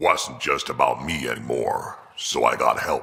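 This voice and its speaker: Growling in a cartoonish character voice, a man speaks at a moderate pace. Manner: gruff, laid-back.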